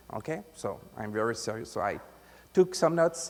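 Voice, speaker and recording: A man speaks in a strong French accent at a high pitch. His pitch swings very widely. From France. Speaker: IT consultant, conference presenter. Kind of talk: conference talk. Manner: halting, many filler sounds; deliberately articulated.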